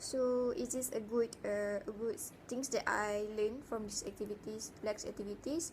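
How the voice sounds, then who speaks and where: Speaking at a moderate pace with a Malaysian accent, the voice keeps a fairly even intonation. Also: woman, fairly high pitch for a woman. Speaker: university student. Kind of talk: spoken self-reflection assignment. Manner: halting, many fillers.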